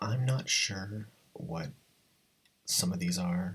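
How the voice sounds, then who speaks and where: A man with a very deep, low voice speaks quietly and very slowly. His intonation stays lively. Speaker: video blogger. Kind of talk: casual commentary monologue. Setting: at home early morning. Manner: talking low, quiet.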